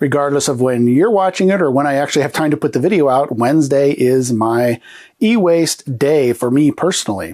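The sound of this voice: A man talks nasally at a medium pitch, fairly quickly and with few pauses. His tone is slightly mellow, with ordinary pitch variation.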